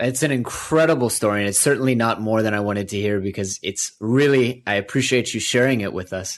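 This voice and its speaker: A man speaks at a fairly quick pace with hardly any pauses, in a plain, everyday voice. His pitch is medium, with ordinary pitch variation. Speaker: podcast host, interviewer. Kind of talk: interview question.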